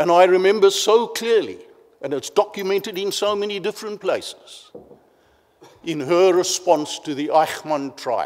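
This man has a high pitch. He speaks at a moderate pace. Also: ordinary pitch variation. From South Africa. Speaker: professor, panel chair. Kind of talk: moderating a conference panel. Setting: conference stage with audience. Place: hall. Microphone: podium.

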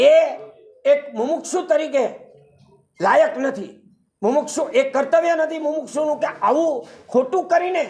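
A man with an extremely high pitch and ordinary pitch variation speaks in a room with audible echo. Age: 70s. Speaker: complainant. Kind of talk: press conference statement. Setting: press conference.

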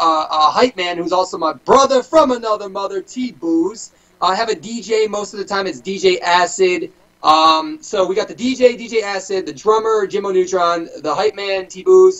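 High-pitched male voice, ordinary pitch variation. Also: moderate pace. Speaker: guest. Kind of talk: interview answer. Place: home room. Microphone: video call.

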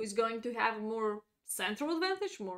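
A woman with a non-native accent speaks in a fairly high pitch with lively intonation over a quiet background. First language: not English. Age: 30s. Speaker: chess grandmaster and streamer. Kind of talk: chess lesson livestream. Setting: live stream.

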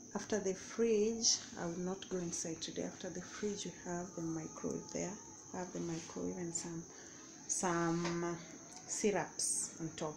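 Noticeable background noise sits behind a woman with a fairly low pitch. She keeps a moderate pace and fairly even intonation. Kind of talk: casual vlog chat. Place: kitchen. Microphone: phone near.

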